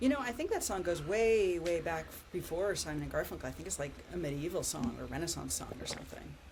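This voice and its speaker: A woman with an American accent speaks at a very fast pace. Noticeable background noise and audible room echo fill the recording. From California, US. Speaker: podcast co-host, researcher. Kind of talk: casual chat.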